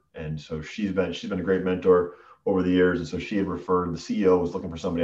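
Delivered at a very fast pace, the speech has an American accent and monotone, flat intonation. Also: man. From Western Massachusetts. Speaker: sales executive. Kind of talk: casual interview.

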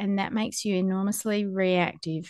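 A woman with an Australian accent, medium pitch, moderate pace, quiet background. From Western Australia. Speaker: podcast host and farmer. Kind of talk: interview podcast; scripted narration.

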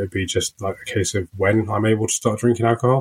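A man with a fairly low, somewhat breathy voice speaks at a fairly quick pace in a very clean recording with a silent background. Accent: British. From UK, working-class family. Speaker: recovering addict sharing story. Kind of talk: interview testimony. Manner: hesitant, many fillers.

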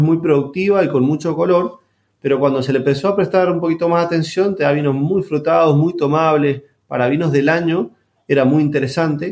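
This man has a plain, everyday voice, fairly high in pitch, moving at a fairly quick pace with ordinary pitch variation. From Argentina, San Juan. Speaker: winemaker and agronomist. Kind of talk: interview.

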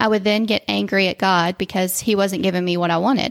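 A woman with a plain, everyday voice speaks at a medium pitch and moderate pace with ordinary pitch variation, on a very clean recording with a silent background and a dry, close sound with no echo. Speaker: physical therapist. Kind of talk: faith testimony interview.

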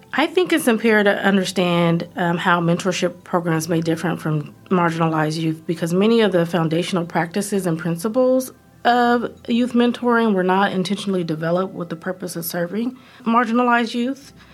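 Speaking with an American accent, a woman at a medium pitch uses ordinary pitch variation and hardly any pauses. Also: fairly quick pace. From US Pacific Northwest, Oregon. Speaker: social work professor. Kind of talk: research podcast monologue. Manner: measured, with frequent fillers.

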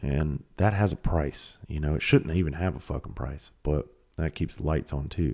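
With a rural Southern US accent and vocal fry, a man talks at a moderate pace in a very deep, low pitch. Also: ordinary pitch variation. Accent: US Southern country. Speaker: podcast host. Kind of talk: casual monologue. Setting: recording at home.

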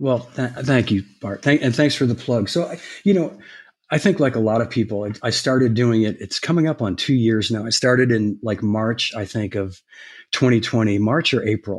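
Against a quiet background, a man with an unremarkable speaking voice talks at a moderate pace. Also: medium pitch for a man, ordinary pitch variation. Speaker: former drum industry executive. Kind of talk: interview.

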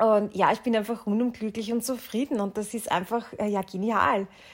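A woman's moderately paced speech with fairly even intonation. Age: 30s. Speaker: pilates instructor. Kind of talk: solo podcast monologue. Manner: hesitant, many filler sounds.

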